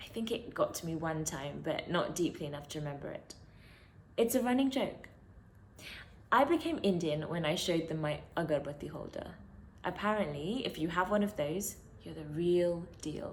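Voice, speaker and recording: A woman with a British accent speaks at a moderate pace in a fairly low, somewhat breathy voice. Her intonation is lively, and there is audible room echo. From London, England. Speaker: poet. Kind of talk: spoken word poetry.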